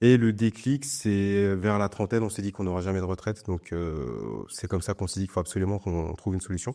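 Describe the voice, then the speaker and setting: Talking at a very fast pace with hardly any pauses, a man uses a fairly low pitch, ordinary variation and a dark, mellow tone, recorded very cleanly with a silent background. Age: 40s. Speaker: real estate investor. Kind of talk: interview.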